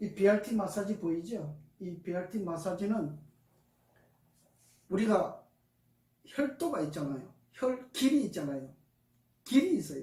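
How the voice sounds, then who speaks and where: A man's high-pitched voice with a dark, mellow tone and lively intonation, at a fairly slow pace with long, frequent pauses and audible room echo. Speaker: massage therapist. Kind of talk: testimony. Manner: not soft-spoken.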